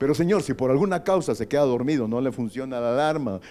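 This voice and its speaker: Fairly quick speech from a man, dark and mellow in tone, with ordinary pitch variation. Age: 60s. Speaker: pastor. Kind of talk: sermon.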